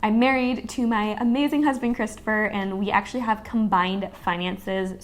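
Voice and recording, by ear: Speaking at a moderate pace, a woman uses a medium pitch and fairly even intonation.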